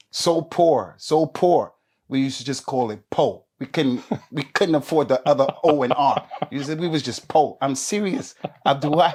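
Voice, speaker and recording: With an American accent, a man speaks in an animated tone at a fairly high pitch, with ordinary pitch variation. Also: moderate pace. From US Northeast, New Jersey. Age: 60s. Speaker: Islamic preacher. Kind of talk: interview.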